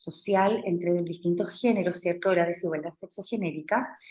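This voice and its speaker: A woman's voice sounds somewhat breathy, with a dark, mellow tone. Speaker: university lecturer. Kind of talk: lecture. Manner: halting, many fillers. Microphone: speaking close to laptop mic.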